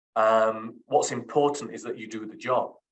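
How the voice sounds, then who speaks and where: A man with a Yorkshire accent and fairly even intonation. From Sheffield, Yorkshire, England. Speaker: criminal barrister. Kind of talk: interview. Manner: hesitant.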